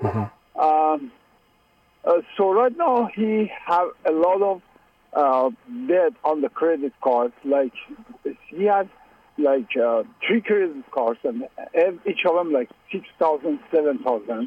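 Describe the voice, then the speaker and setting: A high-pitched man's voice at a very slow pace, with very wide pitch swings, very even loudness and long, frequent pauses. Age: 50s. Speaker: caller. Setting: phone call. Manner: tired and frustrated.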